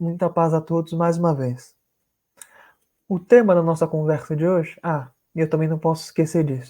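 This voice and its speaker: Dark, mellow tone at a moderate pace, with fairly even intonation and long, frequent pauses. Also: man, fairly high pitch for a man. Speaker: spiritist lecturer. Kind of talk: religious lecture. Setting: live stream video call. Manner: formal.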